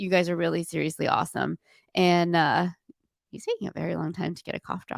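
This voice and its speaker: A woman talks at a very fast pace with big swings in loudness. The sound is dry and close, with no echo. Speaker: golf podcast co-host. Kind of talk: casual chat.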